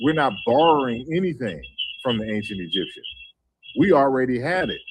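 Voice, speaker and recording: Delivered at a fairly quick pace with lively intonation, the speech carries an American accent against audible room echo. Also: man. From US South, New Orleans. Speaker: guest speaker on African languages. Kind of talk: online panel discussion. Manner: halting, many fillers.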